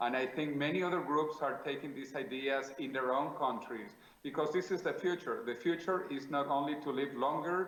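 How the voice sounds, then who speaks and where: Moderate-paced speech in a Spanish accent, with ordinary pitch variation and audible room echo. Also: man, fairly high pitch for a man. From South America. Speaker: futurist interviewee. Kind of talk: interview.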